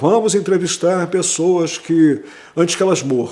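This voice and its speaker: A man speaks with a strong Rio de Janeiro accent. His pitch is high. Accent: strong carioca. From Brazil, Rio de Janeiro. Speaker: history professor. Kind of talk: interview. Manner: conversational, with hesitations.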